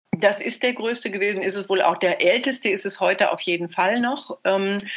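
Medium pitch and fairly even intonation from a woman at a moderate pace, with noticeable background noise. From Germany. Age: 70s. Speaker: former marathon runner. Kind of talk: interview. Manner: hesitant with fillers.

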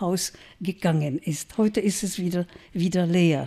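With a Czech accent, a woman talks at a fairly slow pace in a dark, mellow tone, her medium pitch varying in an ordinary way, on a very clean recording with a silent background. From Czech Republic, Brno. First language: Czech (speaking German). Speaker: writer and journalist. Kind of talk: lecture. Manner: halting.

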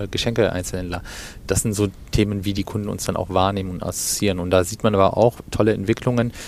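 The speaker is a man with a fairly low pitch. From Germany, Cologne. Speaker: retail executive. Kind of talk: interview. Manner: halting, many fillers.

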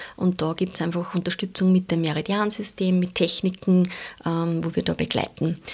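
Fairly low-pitched and somewhat breathy, a woman speaks at a moderate pace in a monotone, flat way on a very clean recording with a silent background. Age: 40s. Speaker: shiatsu practitioner. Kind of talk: interview.

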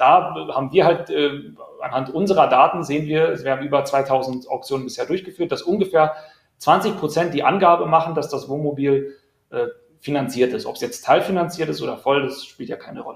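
At a fairly quick pace, this is a normal speaking voice with ordinary pitch variation. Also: man, fairly high pitch for a man. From Berlin. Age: 30s. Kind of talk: live-stream interview.

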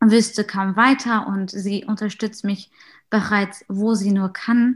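Speaking at a very slow pace, a woman sounds somewhat breathy. Her fairly high voice keeps a fairly even intonation. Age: 20s. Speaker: student and youth group leader. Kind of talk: casual self-introduction. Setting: video call.

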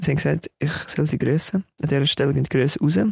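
The speaker talks at a fairly quick pace in a Swiss accent. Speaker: podcast co-host. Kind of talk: casual chat.

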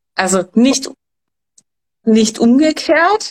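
In a dry, close sound with no echo, a woman's pitch swings very widely. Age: young. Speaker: hormone coach. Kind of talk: expert talk.

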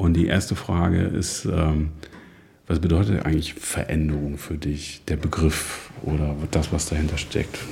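Over noticeable background noise and audible room echo, a man with a very deep, low pitch talks at a fairly slow pace in a monotone, flat intonation. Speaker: podcast host. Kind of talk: casual interview. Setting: guest's dining room, mobile studio.

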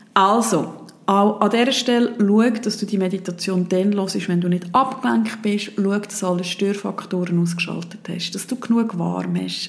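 Noticeable background noise sits behind a woman speaking at a fairly slow pace. Her pitch is medium and her intonation fairly even. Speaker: podcast host and meditation guide. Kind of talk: guided meditation. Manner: calm, gentle, dreamy with long pauses.

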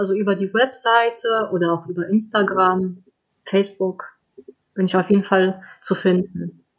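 A woman speaks with a slight non-native accent and fairly even intonation. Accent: slight foreign accent in German. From Poland. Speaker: children's book author. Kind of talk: interview.

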